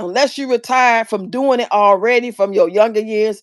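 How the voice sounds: A woman talks at a moderate pace in a fairly high pitch, with ordinary pitch variation.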